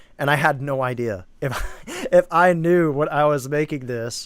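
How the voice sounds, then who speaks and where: At a fairly slow pace, the speaker uses a normal speaking voice with ordinary pitch variation. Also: man. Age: 20s. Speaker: filmmaker. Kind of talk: live commentary. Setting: live stream.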